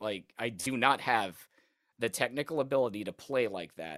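A man with an unremarkable speaking voice and an American accent, medium pitch, ordinary pitch variation and moderate pace, on a very clean recording with a silent background. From US South (Alabama). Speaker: guitarist. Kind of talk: casual interview.

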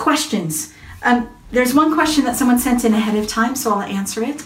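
A woman with an American accent and a warm tone speaks at a moderate pace with ordinary pitch variation over noticeable background noise. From US. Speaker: parenting and faith speaker. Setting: Facebook Live, online video. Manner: warm, chatty.

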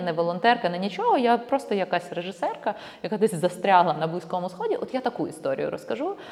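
A woman at a medium pitch and a fairly quick pace, over noticeable background noise. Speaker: documentary filmmaker. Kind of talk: casual interview.

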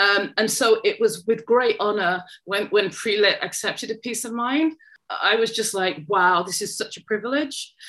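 Bright, sharp tone from a woman with fairly high pitch and ordinary pitch variation, at a moderate pace over a quiet background. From Manchester, England. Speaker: poet and writing tutor. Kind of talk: interview.

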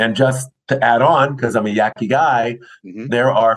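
A man's plain, everyday voice, medium in pitch, at a fairly slow pace. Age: 60s. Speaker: film industry association chair. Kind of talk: interview. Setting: remote recording.

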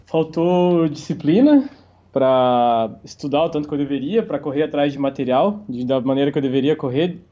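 A man's fairly high voice at a moderate pace, a plain, everyday voice with ordinary pitch variation. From Santa Catarina, Brazil. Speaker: professional poker player. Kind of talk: interview.

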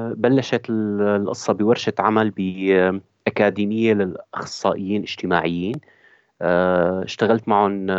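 Intonation here is fairly even. The pace is very slow. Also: man, fairly low pitch for a man. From Syria. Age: 30s. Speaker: theatre actor and director. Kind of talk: interview. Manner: halting.

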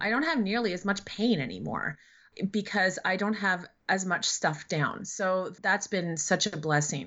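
A woman speaks in a plain, everyday voice at a medium pitch. Her pace is fairly slow and her pitch variation ordinary. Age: 40s. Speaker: writer, public speaker and activist. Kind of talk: interview.

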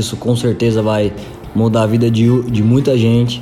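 With music in the background and audible room echo, a man speaks in a monotone, flat intonation at a moderate pace and medium pitch. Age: 20s. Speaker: church leadership coordinator. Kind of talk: casual interview.

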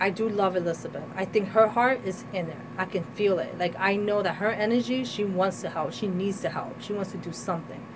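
A woman with an American accent talks at a fairly quick pace with hardly any pauses and fairly even intonation, over noticeable background noise. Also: medium pitch for a woman. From New Jersey, US. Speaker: artist and women's rights activist. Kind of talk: radio interview. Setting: studio.

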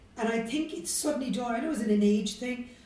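In a Cork accent, a woman speaks at a fairly high pitch. The room echo is audible. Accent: Cork Irish. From Ireland, Cork city. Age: 50s. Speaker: business executive. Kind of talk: interview.

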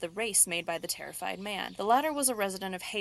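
Lively intonation shapes the delivery of an unforced reading voice.

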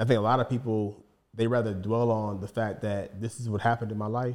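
Fairly quick speech from a man with a fairly low pitch. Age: 30s. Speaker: healing coach and therapist. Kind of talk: casual interview conversation.

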